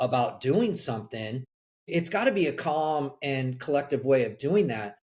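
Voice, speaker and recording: Speaking slowly with a fairly high pitch and an American accent, a man sounds somewhat breathy and has lively intonation. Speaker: college soccer coach. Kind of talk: podcast interview.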